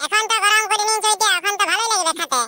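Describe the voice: In a cartoonish character voice, a woman talks at a fairly quick pace, squeaky and extremely high-pitched, with very even loudness.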